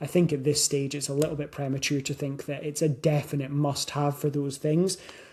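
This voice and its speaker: Here is a man with a Scottish accent and a fairly high pitch. His intonation is monotone and flat. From Scotland. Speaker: weight loss coach. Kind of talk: podcast monologue. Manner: casual, with fillers and self-corrections.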